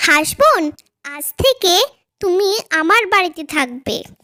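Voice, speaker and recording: Very slow, cartoonish character voice that sounds female. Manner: warm, affectionate.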